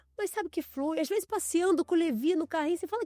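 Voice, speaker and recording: Over music in the background, a woman with an extremely high pitch speaks with lively intonation in a dry, close sound with no echo. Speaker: podcast host and image consultant. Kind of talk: casual interview chat.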